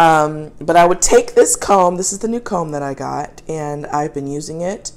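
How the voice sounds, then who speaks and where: An ordinary speaking voice at a fairly slow pace. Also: woman. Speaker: pet owner reviewing products. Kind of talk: casual product review. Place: kitchen. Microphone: phone near.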